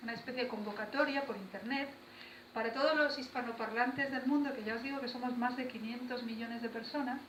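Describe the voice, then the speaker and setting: At a fairly quick pace, a woman speaks in a high voice with fairly even intonation, amid noticeable background noise and audible room echo. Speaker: poet. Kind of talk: talk to school students. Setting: school visit with students. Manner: conversational with hesitations.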